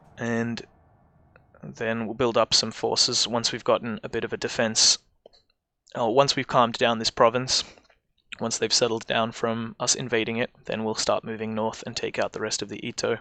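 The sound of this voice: A man's medium-pitched voice, bright and sharp in tone, with little pitch movement at a moderate pace.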